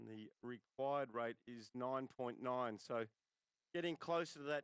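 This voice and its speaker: A man at a medium pitch with an Australian accent. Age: 60s. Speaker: cricket commentator. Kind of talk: live commentary. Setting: commentary box.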